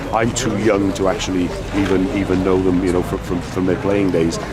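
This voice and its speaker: A man speaks at a fairly quick pace in a very deep, low voice, with audible room echo and noticeable background noise. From Wales. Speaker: football supporter. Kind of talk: interview. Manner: halting.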